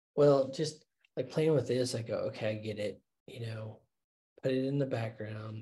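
Somewhat breathy and dark, mellow in tone, a man speaks at a medium pitch and a moderate pace with fairly even intonation and long, frequent pauses. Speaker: podcast co-host. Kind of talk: casual business discussion.

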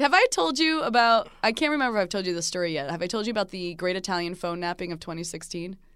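Very fast, lively speech from a woman with an American accent, medium in pitch, with hardly any pauses. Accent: Jersey accent, stronger when drinking. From New Jersey. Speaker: TV host and podcaster. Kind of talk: casual chat. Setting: studio.

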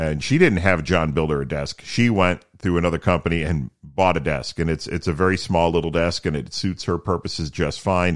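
In a very clean recording with a silent background, a man with a very deep, low, resonant pitch talks at a fairly quick pace with fairly even intonation. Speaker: podcast host with low vision, former broadcaster. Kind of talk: solo podcast monologue. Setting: home studio. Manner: casual, conversational.

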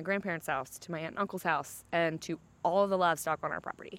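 A woman with an American accent and a fairly low pitch is heard on a very clean recording with a silent background. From West Virginia, Pocahontas County. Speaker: musician from a farming family. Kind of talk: interview.

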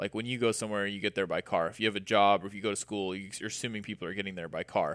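A man with an American accent at a very fast pace, dry and close with no echo, in a very clean recording over a silent background. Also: fairly low pitch for a man. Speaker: podcast guest. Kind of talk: casual conversation. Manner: animated.

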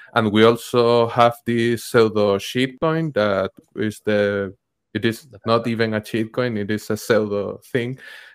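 At a fairly slow pace, a man with a Spanish accent talks in a medium pitch with fairly even intonation. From Venezuela. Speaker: journalist and bitcoin educator. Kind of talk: casual chat. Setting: video call.

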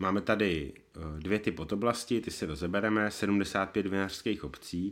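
This man has a normal speaking voice with a fairly low pitch. He talks at a fairly slow pace with fairly even intonation. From Bohemia, Czech Republic. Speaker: wine podcast host. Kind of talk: casual chat.

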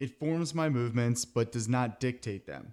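A man with an American accent has an ordinary speaking voice and ordinary pitch variation. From Philadelphia area. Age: 30s. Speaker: podcast host. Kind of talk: interview.

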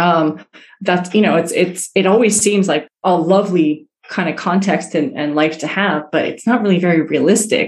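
With a plain, everyday voice, a woman speaks at a moderate pace and a fairly low pitch, using ordinary pitch variation. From New York City (Queens), born in Iran. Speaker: cultural intelligence specialist. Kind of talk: interview.

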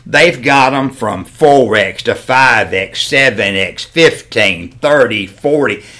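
A man with a Southern US accent talks at a very slow pace and medium pitch, with hardly any pauses. His tone is bright and sharp, with lively intonation. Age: 60s. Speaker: hat maker. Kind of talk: casual chat.

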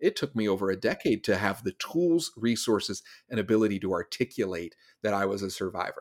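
In a very clean recording with a silent background and a dry, close sound with no echo, a man with an American accent uses a plain, everyday voice, fairly low in pitch, at a fairly quick pace with ordinary pitch variation. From US Southeast. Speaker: speaker and consultant. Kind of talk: interview conversation.

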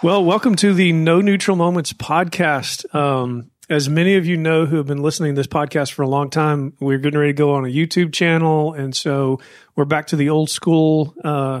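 In a normal speaking voice, a man talks at a fairly high pitch and a fairly quick pace with fairly even intonation and hardly any pauses, on a very clean recording with a silent background. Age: 50s. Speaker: podcast host. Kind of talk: interview.

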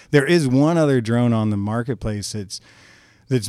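In a very clean recording with a silent background, a man with an American accent speaks at a moderate pace, his medium pitch carrying a dark, mellow tone and ordinary pitch variation. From northeast Kansas, US Midwest. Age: 50s. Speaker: drone business owner. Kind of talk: casual chat.

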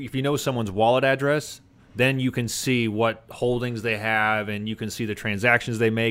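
A man with a medium pitch and fairly even intonation uses a normal speaking voice. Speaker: guest, former powerlifter and crypto entrepreneur. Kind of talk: casual chat. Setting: studio.

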